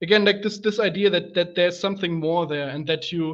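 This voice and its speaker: The speaker has a German accent and talks at a moderate pace. The intonation is fairly even. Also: man. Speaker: podcast host. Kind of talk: casual chat. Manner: halting.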